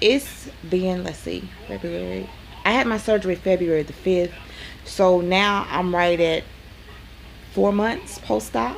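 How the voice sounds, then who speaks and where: A woman with a Southern US accent at a fairly slow pace, long, frequent pauses and noticeable background noise. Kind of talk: casual talk to camera.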